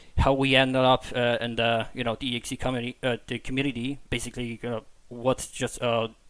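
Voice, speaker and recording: Speaking at a very fast pace with a non-native accent, the voice stays monotone and flat. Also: man, medium pitch for a man. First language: not English. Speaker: podcast host. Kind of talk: casual podcast chat. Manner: halting, many fillers and repetitions.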